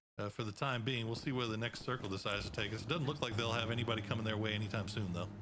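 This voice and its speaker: With an American accent, a man at a medium pitch speaks at a very fast pace with hardly any pauses and very even loudness, over noticeable background noise and audible room echo. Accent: Texan, stronger when excited. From Texas. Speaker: esports caster. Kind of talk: live commentary; casual chat.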